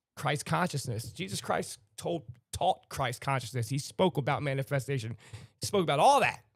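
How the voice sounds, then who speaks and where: Somewhat breathy, a man talks at a fairly quick pace with a fairly high pitch and lively intonation. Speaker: livestream host. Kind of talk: casual chat. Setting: live stream.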